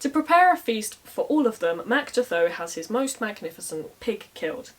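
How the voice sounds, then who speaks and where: Over noticeable background noise, a woman with a fairly high pitch speaks at a moderate pace with very wide pitch swings. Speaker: storyteller, medieval Irish scholar. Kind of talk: casual storytelling to camera. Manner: humorous, conversational.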